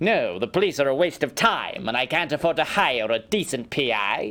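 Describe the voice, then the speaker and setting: A man's gruff, put-on character voice, fairly high in pitch, with very wide pitch swings and a moderate pace. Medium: video game. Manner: gruff, blunt.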